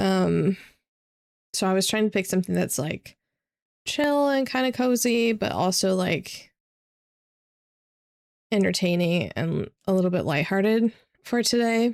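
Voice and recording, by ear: A woman at medium pitch with a slightly mellow tone and lively intonation, fairly slow with long, frequent pauses, in a very clean recording with a silent background.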